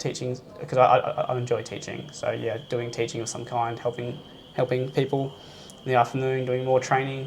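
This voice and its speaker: Over noticeable background noise, a man with an Australian accent speaks at a medium pitch in a monotone, flat intonation. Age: 20s. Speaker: kung fu instructor. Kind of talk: interview chat. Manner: fast; halting.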